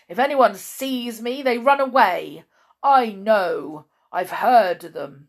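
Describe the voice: Using a put-on character voice, a woman speaks slowly with fairly high pitch and lively intonation.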